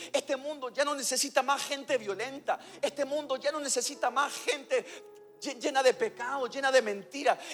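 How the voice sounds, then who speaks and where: A man with an extremely high pitch and ordinary pitch variation, at a moderate pace, amid noticeable background noise. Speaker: pastor. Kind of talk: sermon. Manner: animated.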